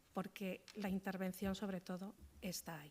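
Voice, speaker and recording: The woman is soft-spoken, with a dark, mellow tone. She keeps a fairly slow pace. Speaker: hospital social work manager. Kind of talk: conference talk. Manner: halting.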